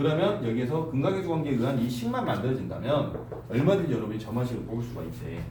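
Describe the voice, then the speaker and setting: Noticeable background noise and audible room echo fill the recording of a man talking. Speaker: math teacher. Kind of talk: lecture. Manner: casual, conversational.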